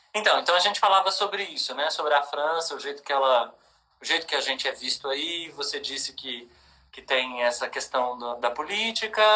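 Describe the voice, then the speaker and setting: A man at a moderate pace with lively intonation. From Brazil, Minas Gerais. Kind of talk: casual discussion.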